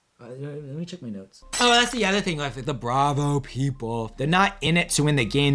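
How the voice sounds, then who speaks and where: A man speaks at a fairly high pitch with lively intonation. Noticeable background noise is present. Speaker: reality TV reviewer. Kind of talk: solo video commentary. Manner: casual, hesitant.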